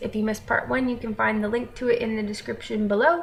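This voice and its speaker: With an American accent, a woman speaks against noticeable background noise. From American, raised abroad (third culture kid). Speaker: vlogger. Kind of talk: casual vlog talk. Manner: conversational with filler ums.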